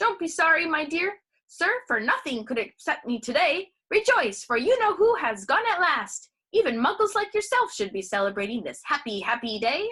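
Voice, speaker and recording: Using a put-on character voice, a woman squeaks at an extremely high pitch with very wide pitch swings and a moderate pace. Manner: jubilant, gleeful.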